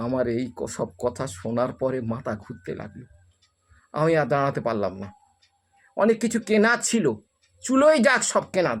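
With medium pitch, a man's voice moves through very wide pitch swings and big swings in loudness. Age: 60s. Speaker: storyteller video creator. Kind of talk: storytelling monologue.

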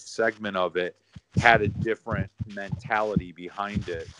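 A normal speaking voice with fairly even intonation, dry and close with no echo. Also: man. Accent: American. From Chicago, US Midwest. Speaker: indie horror filmmaker. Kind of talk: casual interview. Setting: remote call from home.

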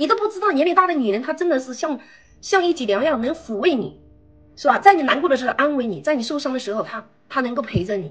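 A woman talks at a very fast pace. Her high voice swings very widely in pitch. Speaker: guest. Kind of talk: heated argument. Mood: insistent, persuasive. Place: home room. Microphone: video call.

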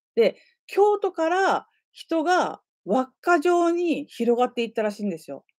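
In a very clean, dry, close recording with no echo and a silent background, a woman speaks at a fairly slow pace in an extremely high voice, with very wide pitch swings and big swings in loudness. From Nagasaki, Japan. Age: 40s. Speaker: YouTuber and designer. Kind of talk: casual chat. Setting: livestream.

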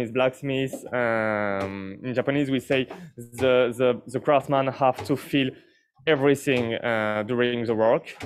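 In a French accent, a man speaks at a very slow pace over light background noise. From France. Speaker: blacksmith demonstrating knife forging. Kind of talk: explanatory demonstration commentary. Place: workshop. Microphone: lapel.

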